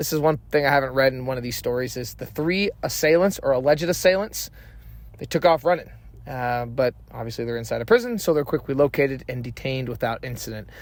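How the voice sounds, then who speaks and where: The pace is very fast. Loudness swings widely. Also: man, medium pitch for a man, ordinary pitch variation. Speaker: true crime YouTuber. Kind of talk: true crime narration with commentary. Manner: casual, conversational.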